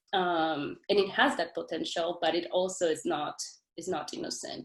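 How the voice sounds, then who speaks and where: With a non-native accent, the woman talks at a fairly slow pace. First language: not English. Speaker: doctoral student. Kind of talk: academic webinar discussion. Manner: halting, many repetitions and fillers.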